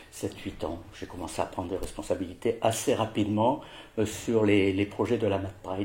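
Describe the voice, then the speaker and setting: Somewhat breathy and dark, mellow in tone, a man speaks at a moderate pace with a fairly low pitch and fairly even intonation. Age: 60s. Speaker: president of a patient association for OCD. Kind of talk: interview testimony. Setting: at his home. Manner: halting, many hesitations.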